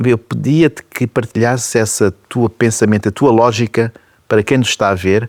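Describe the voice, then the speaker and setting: An unremarkable speaking voice belongs to this man, medium in pitch and moderate in pace. His intonation is fairly even, and the sound is dry and close with no echo. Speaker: TV talk show host. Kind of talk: interview questions.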